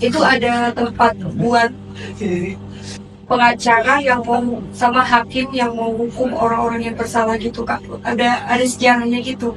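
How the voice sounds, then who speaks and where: Noticeable background noise sits behind a woman speaking at a moderate pace. Her pitch is high and her intonation monotone and flat. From North Sumatra, Medan (Batak). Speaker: law student and TikToker. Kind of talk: casual interview chat.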